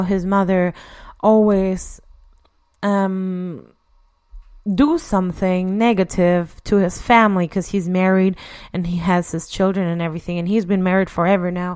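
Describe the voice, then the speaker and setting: The pace is moderate. It is a very clean recording with a silent background. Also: woman. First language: not English. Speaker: podcast host. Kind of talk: solo podcast monologue. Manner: halting. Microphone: new equipment, says voice sounds clear.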